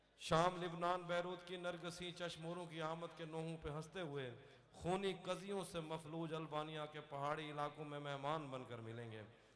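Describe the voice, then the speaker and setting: Fairly even intonation with noticeable background noise. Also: man, fairly high pitch for a man. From Dera Ghazi Khan, Pakistan. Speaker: poet. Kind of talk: poetry reading.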